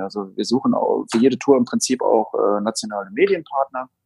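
Music plays in the background as a man talks at a fairly quick pace in a dry, close sound with no echo. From Saarland, Germany. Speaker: booking agent. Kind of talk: interview. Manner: hesitant, many fillers.

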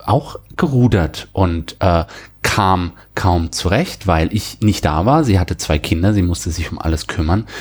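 At a fairly slow pace, a man talks in a somewhat breathy voice. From Germany, near the French border. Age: 40s. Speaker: software and cloud specialist. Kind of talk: interview about personal burnout experience. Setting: studio, sitting across from the host.

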